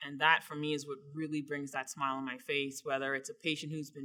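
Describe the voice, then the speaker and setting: With a slight Bahamian accent, a woman speaks very fast in a very deep, low pitch, her tone bright and sharp and her intonation monotone and flat. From Bahamas. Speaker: surgeon. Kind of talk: interview answers.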